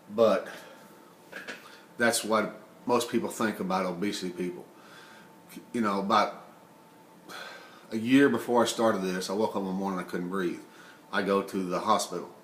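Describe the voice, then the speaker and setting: Over noticeable background noise and audible room echo, a man with a fairly low pitch talks at a moderate pace with fairly even intonation and long, frequent pauses. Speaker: vlogger sharing personal experience of obesity. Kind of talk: personal testimony monologue. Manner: emotional; halting, mumbling.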